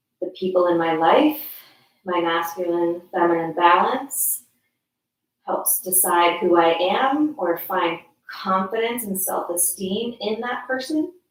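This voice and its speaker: A woman's ordinary speaking voice, medium in pitch, with lively intonation and a fairly slow pace. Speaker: yoga teacher. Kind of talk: guided yoga class. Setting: friend's house.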